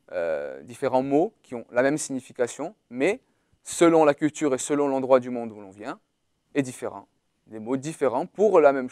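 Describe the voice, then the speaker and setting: The tone is dark and mellow, the intonation lively, and the pace moderate, with big swings in loudness. The recording is very clean, dry and close, with a silent background and no echo. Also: man, medium pitch for a man. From Corsica. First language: Portuguese (speaking French). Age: 20s. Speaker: university student. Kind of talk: testimony. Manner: halting.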